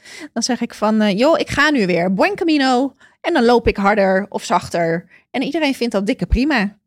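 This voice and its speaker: A woman's fairly high-pitched voice, a normal speaking voice with lively intonation at a moderate pace, in a very clean recording with a silent background. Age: 40s. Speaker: podcast guest on career break. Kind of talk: casual interview.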